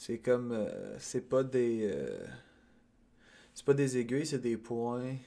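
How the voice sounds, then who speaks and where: Speaking very slowly with a Quebec accent, a man uses a dark, mellow tone at a medium pitch, his intonation monotone and flat. Long, frequent pauses break up his speech, and his loudness swings widely. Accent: Québécois French. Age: 20s. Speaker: podcast host. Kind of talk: casual solo monologue. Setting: at home. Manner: halting, many fillers. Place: home room. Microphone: studio mic.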